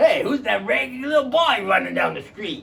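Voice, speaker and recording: Putting on a character voice, a man speaks at an extremely high pitch and a fairly quick pace. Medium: stage play. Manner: hearty, exclamatory.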